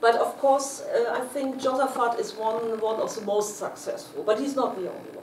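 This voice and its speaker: In a German accent, a woman with a high pitch speaks amid noticeable background noise and audible room echo. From northern Germany (Hamburg). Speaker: history professor. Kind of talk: academic seminar Q&A. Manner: halting, many fillers and repetitions.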